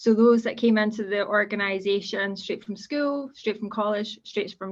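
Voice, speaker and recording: A woman's medium-pitched voice at a moderate pace against a quiet background. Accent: Scottish. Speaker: civil servant, guest speaker. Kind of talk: presentation to students.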